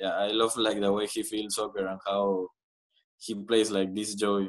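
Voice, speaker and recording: Speaking in a monotone, flat way at a moderate pace, a man with a Spanish accent uses a fairly low pitch against a quiet background. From Peru, Lima; Peru. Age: 20s. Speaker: professional footballer; guest. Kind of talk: interview. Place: home room. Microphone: video call.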